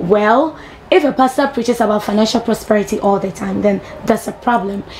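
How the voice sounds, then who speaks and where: A woman moves at a fairly quick pace with ordinary pitch variation while noticeable background noise continues around her. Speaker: TV entertainment show host. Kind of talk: entertainment news presenting. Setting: TV studio, live broadcast.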